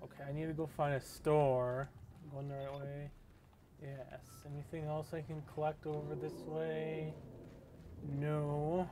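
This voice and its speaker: This man speaks fairly slowly with a fairly high pitch, a dark, mellow tone, a flat, monotone delivery, and long pauses that come often. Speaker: gaming youtuber. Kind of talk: let's play commentary. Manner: casual, rambling thinking aloud.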